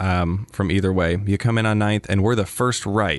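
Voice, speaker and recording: A man with an unremarkable speaking voice speaks at a moderate pace and fairly low pitch, with ordinary pitch variation. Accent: American. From US Midwest, Wisconsin. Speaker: physician assistant. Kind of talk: interview. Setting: studio.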